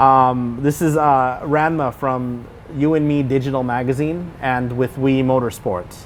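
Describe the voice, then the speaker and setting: In an American accent, a man with medium pitch talks at a fairly slow pace with fairly even intonation and very even loudness, a normal speaking voice. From California. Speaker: interviewer. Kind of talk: casual interview. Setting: race circuit.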